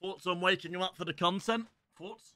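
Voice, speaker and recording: With an English accent, a man talks at a fairly slow pace in a high pitch. The background is quiet. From England. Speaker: gaming streamer. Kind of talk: live stream commentary. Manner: quieter than usual to avoid waking dog.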